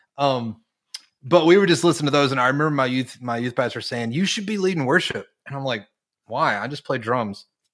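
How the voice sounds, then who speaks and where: A man talks in an ordinary speaking voice at medium pitch. His pace is fairly quick and his intonation lively. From North Carolina. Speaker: worship leader and songwriter. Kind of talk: casual interview.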